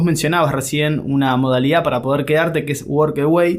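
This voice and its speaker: In an Argentine accent, a man speaks at a fairly quick pace. His pitch is fairly high and his intonation fairly even. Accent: Argentine Spanish (Rioplatense). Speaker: podcast host. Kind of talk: interview.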